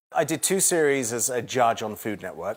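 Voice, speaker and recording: On a very clean recording with a silent background, a man speaks at a fairly quick pace in a southern English accent. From England (London suburbs). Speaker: TV chef and shopping channel host. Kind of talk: interview and studio tour. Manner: conversational.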